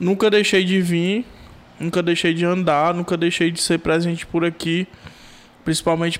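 Here a man talks with a Ceará accent at a moderate pace. His pitch is high and his intonation is monotone and flat. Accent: Brazilian Portuguese, Cearense. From Brazil, Maracanaú, Ceará. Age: 20s. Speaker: rapper and sound technician. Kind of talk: casual chat.

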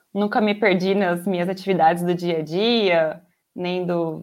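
A woman with a medium pitch talks on a very clean recording, the background silent. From interior of São Paulo state, Brazil. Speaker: software quality analyst. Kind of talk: casual interview.

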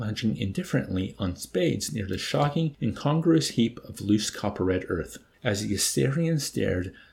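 Lively intonation runs through the clip. It is read in an unforced voice.

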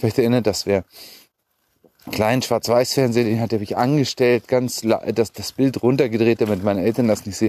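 The recording is dry and close with no echo, carrying a man's dark, mellow tone. His pitch is medium and his intonation fairly even. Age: 40s. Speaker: podcaster. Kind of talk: solo monologue. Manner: halting.

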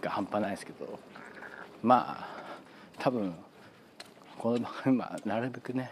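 Against noticeable background noise, a man with a medium pitch and fairly even intonation speaks with big swings in loudness and long, frequent pauses. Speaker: football fan podcaster. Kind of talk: casual solo monologue. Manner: fast.

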